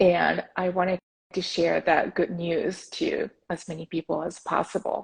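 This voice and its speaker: A woman with a Japanese accent speaks at a fairly slow pace in a dry, close sound with no echo. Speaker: podcast host, meditation advocate. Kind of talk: interview. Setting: Instagram live video call.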